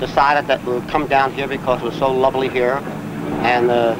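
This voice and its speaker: Noticeable background noise sits behind this recording. A man talks at medium pitch. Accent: American. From New Jersey. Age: 60s. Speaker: retiree tennis player. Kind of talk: interview testimony.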